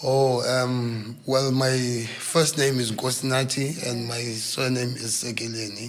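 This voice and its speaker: A man with a South African accent at a medium pitch, very slow pace and fairly even intonation, hardly any pauses, audible room echo and noticeable background noise. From South Africa, KwaZulu-Natal (Port Edward), from Eastern Cape. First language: isiXhosa. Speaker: news camera operator and video journalist. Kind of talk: podcast interview. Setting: studio. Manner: relaxed, hesitant with fillers.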